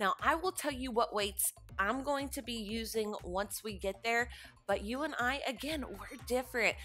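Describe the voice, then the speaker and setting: Faint music plays in the background as a woman speaks. Her voice is high, with ordinary pitch variation. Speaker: fitness instructor. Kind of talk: workout instruction. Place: empty room.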